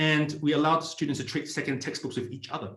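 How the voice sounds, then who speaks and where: Very fast and somewhat breathy, a man talks amid audible room echo. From Australia, Sydney. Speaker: startup community founder, ex-tech employee. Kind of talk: online presentation. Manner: hesitant, with fillers.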